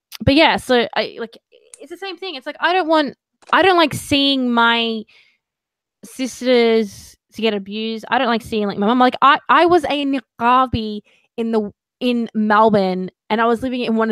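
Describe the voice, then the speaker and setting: A woman with an Australian accent speaks at a moderate pace in a fairly high voice with lively intonation and big swings in loudness. The recording is very clean, with a silent background and a dry, close sound with no echo. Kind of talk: casual live video chat interview. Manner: animated.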